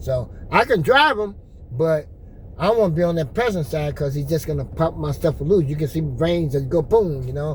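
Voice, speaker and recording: Speaking at a moderate pace, a man with a fairly high voice uses lively intonation. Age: 60s. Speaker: vlogger. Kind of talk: casual chat. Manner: animated.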